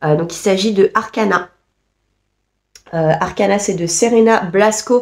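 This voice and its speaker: A woman speaks at a very slow pace with long, frequent pauses. Her pitch is medium, with ordinary variation. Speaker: book youtuber. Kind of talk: casual video monologue. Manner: hesitant, many fillers.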